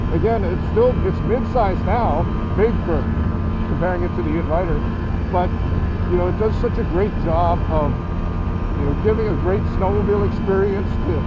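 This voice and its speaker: A man speaks with long, frequent pauses over loud background noise. The sound is dry, without any echo. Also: moderate pace. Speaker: snowmobile show host. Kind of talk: commentary. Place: open country.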